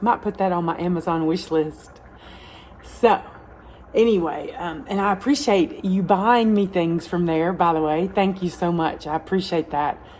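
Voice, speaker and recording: A woman speaks in a Southern US accent at a moderate pace. Noticeable background noise can be heard. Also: medium pitch for a woman, ordinary pitch variation. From US South, Alabama. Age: 50s. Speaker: home cooking channel host. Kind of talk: cooking tutorial. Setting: home kitchen. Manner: casual, chatty with filler words.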